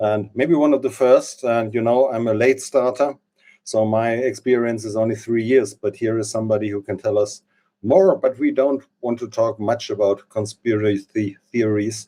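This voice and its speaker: This man speaks with a German accent, a dark, mellow tone and fairly even intonation. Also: medium pitch for a man, moderate pace. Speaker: interview show host. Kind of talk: interview. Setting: live stream. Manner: halting.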